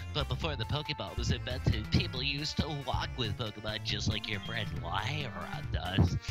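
A man speaks at a moderate pace in a put-on character voice of fairly low pitch, with loud music playing behind him. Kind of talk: explanatory, lecturing.

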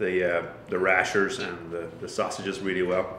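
With a Kildare Irish accent, a man talks over light background noise in audible room echo. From Ireland, County Kildare (countryside); Ireland. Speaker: head brewer; guest. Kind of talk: casual chat. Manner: halting, many fillers. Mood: relaxed, friendly. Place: office. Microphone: camera far.

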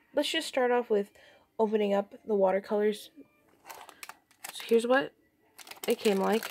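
Quiet and fairly high-pitched, a woman speaks with ordinary pitch variation and long, frequent pauses over light background noise. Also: moderate pace. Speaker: hobby artist. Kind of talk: casual talk to camera, product review. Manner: quiet, a little unenthusiastic. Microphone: phone near.

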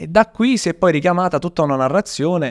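A man speaks at a fairly quick pace with very wide pitch swings. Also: quiet background. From Italy. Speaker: history storyteller and content creator; history storyteller, content creator. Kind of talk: casual chat with storytelling. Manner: animated. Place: studio. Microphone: studio mic.

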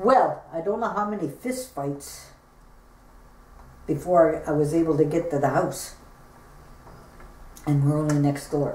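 At a fairly slow pace, a woman speaks in a fairly low pitch with a dark, mellow tone that is somewhat breathy, in audible room echo with light background noise. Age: 60s. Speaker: bullying survivor. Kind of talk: interview answer. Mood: earnest, recounting painful memories. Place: home room. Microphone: camera far.

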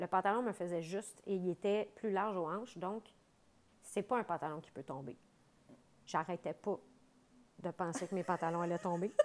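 A woman talks at a moderate pace with a Quebec accent, her pitch medium and her pitch variation ordinary. She leaves long, frequent pauses. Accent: Québécois French. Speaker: comedian and mother; comedian. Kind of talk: casual chat. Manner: animated, laughing. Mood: animated, joking storytelling. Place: studio.

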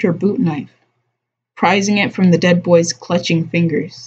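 The voice is a woman's and somewhat breathy. She talks at a fairly slow pace. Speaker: live streamer reading a book aloud while drawing. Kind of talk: casual live stream chat mixed with reading aloud. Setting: live stream broadcast. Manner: casual, laid-back.

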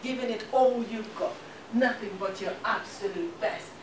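A woman talks at a moderate pace. Background noise is noticeable. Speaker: guest. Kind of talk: motivational talk. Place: classroom. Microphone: camera far.

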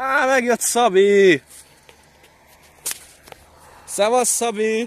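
An extremely high-pitched man's voice with ordinary pitch variation

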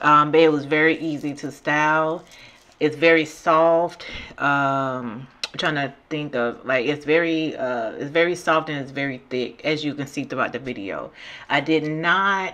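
Her pitch very deep and low, a woman speaks fairly slowly with a bright, sharp tone and fairly even intonation. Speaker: beauty vlogger. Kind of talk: product review voice-over.

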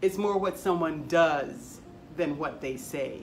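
A woman goes at a fairly slow pace, her pitch varying in an ordinary way, while noticeable background noise plays behind her. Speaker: library storyteller. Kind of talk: dramatic monologue in character as a retired forest worker, then a library tutorial. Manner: folksy, wry storytelling with a knowing, steely edge.

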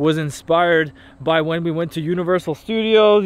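Pitched high for a man, his voice shows ordinary variation and sounds dry, with no echo. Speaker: vlogger. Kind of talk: casual vlog chat. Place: open country. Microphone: phone near.

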